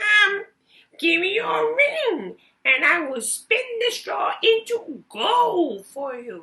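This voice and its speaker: A woman speaks in a put-on character voice at an extremely high pitch, moving very slowly with very wide pitch swings. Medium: read story. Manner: sly, smug.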